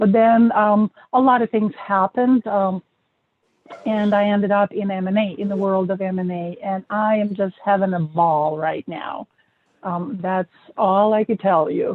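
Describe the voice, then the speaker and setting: A woman with a non-native accent speaks at a medium pitch and a fairly slow pace. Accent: foreign. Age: 40s. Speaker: M&A expert, author. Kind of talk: interview.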